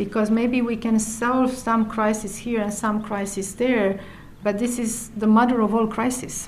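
With a Romanian accent, a woman speaks fairly slowly in a flat monotone at a fairly high pitch, with audible room echo and noticeable background noise. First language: Romanian (speaking Finnish). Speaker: UN environmental official. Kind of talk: interview.

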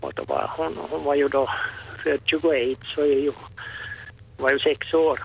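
Through noticeable background noise, a man talks at a very slow pace with long, frequent pauses. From Vörå, Ostrobothnia, Finland. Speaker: caller, retiree. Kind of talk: radio phone-in chat.

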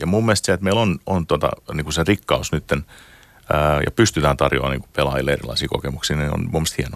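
In a dry, close sound with no echo, a man with a very deep, low pitch and vocal fry talks at a very fast pace with lively intonation. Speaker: games industry executive. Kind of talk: interview. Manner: halting.

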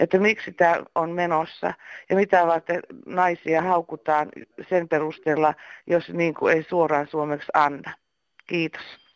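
This woman's fairly low voice stays monotone and flat, moving at a fairly slow pace. The sound is dry and close with no echo, against a quiet background. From eastern Finland. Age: 60s. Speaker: caller. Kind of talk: voicemail message.

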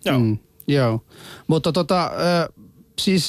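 Recorded very cleanly against a silent background, a man speaks with a non-native accent. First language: not Finnish (speaking Finnish). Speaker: radio host. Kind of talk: casual chat.

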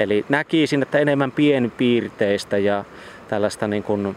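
An unremarkable speaking voice from a man at a fairly slow pace, with ordinary pitch variation. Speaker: regional environmental expert. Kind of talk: interview. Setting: outdoors by flowing water.

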